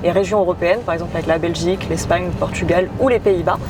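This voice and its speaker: Through noticeable background noise, a woman talks at a medium pitch with fairly even intonation. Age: 20s. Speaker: real estate investment partnership manager. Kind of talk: interview.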